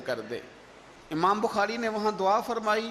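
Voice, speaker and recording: A man does the talking. Behind him, background noise is noticeable. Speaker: Islamic scholar and orator giving a religious sermon. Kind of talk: religious sermon / storytelling lecture. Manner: emotional, passionate, dramatic storytelling.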